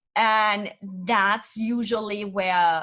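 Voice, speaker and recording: A woman talks with a German accent. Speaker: business consultant. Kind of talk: interview. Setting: podcast.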